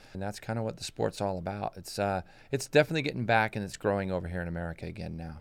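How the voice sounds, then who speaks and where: A man speaks at a very fast pace in a fairly low pitch. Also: lively intonation, big swings in loudness. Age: 40s. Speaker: retired motorcycle racer and riding coach. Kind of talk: interview. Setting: studio.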